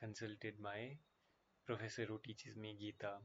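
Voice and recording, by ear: This is a man with a fairly low pitch. He talks at a moderate pace.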